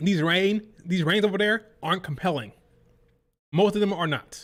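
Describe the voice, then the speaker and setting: A loud, high-pitched man at a moderate pace. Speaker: wrestling streamer. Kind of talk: live stream reaction rant. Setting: live stream. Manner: animated.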